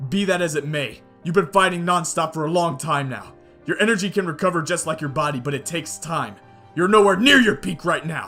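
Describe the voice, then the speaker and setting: Over faint background music, a man puts on a high-pitched character voice and talks at a fairly quick pace. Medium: read story. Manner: determined.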